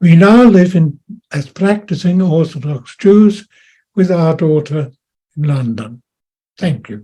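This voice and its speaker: At a fairly slow pace, a man with a high pitch and dark, mellow tone speaks with lively intonation and long, frequent pauses. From Austria and Germany. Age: 90s. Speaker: World War Two veteran. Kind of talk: personal testimony.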